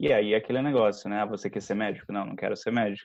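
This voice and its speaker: A man speaks with fairly even intonation. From interior of São Paulo state, Limeira. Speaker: Portuguese teacher. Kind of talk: casual chat.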